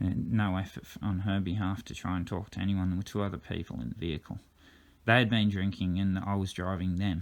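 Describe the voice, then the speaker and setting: This man talks at a very fast pace with an Australian accent. His pitch is very deep and low, with ordinary pitch variation. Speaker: driver disputing a drink-driving case. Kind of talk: reading out text messages with commentary. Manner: halting, fumbles words; uneven pace, fast at times.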